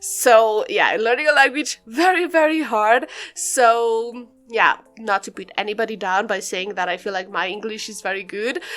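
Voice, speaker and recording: Speaking with a non-native accent, a woman keeps a moderate pace. Her intonation is lively. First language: not English. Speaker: gaming YouTuber, Sims builder. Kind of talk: casual chat over gameplay. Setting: pre-recorded voiceover. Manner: casual, rambling with self-corrections.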